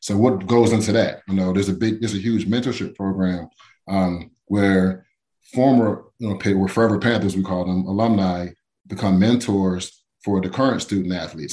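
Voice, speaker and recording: With an American accent, a man speaks in an unremarkable speaking voice, fairly low in pitch, at a moderate pace with fairly even intonation. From Pittsburgh, Pennsylvania (from age seven). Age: 40s. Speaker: former NFL player. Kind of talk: interview. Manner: casual, many fillers and restarts.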